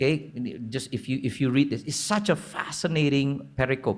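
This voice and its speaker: A man's lively intonation with vocal fry. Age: 40s. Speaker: preacher. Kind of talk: sermon. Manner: casual, halting with fillers.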